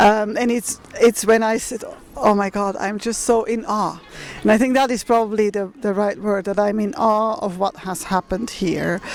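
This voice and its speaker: Noticeable background noise sits behind a speaker with a non-native accent. The pace is moderate and the intonation fairly even. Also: woman, fairly high pitch for a woman. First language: not English. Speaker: museum representative returning cultural objects. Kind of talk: public talk at a meeting. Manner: halting.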